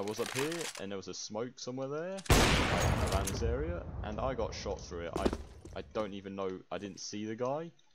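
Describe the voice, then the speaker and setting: A man's fairly low-pitched voice with an English accent, at a moderate pace, over noticeable background noise. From England. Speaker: gamer, map playtester. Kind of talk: casual gaming chat.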